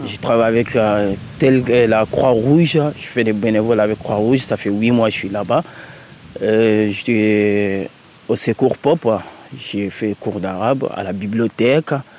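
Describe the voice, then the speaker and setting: Speaking at a very slow pace with long, frequent pauses, a man talks in a fairly low voice over noticeable background noise. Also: ordinary pitch variation. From Mali. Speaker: migrant volunteer. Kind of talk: field interview.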